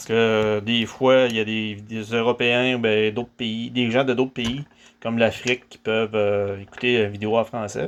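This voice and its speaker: In a Quebec accent, a man speaks at a fairly slow pace with monotone, flat intonation and big swings in loudness. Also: medium pitch for a man. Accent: Québécois French. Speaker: DIY hobbyist. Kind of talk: tutorial. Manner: talkative, with many hesitations.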